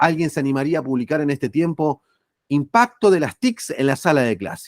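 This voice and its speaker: Male voice, fairly high in pitch, with lively intonation and a fairly quick pace in a dry, close sound with no echo. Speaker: journal editor and academic speaker. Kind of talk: lecture. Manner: fast; animated.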